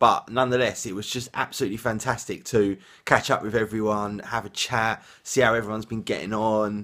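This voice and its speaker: With an English accent, the voice is bright and sharp, fairly quick, monotone and flat, with hardly any pauses, in a very clean recording with a silent background. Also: man, fairly low pitch for a man. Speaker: vlogger. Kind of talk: casual vlog.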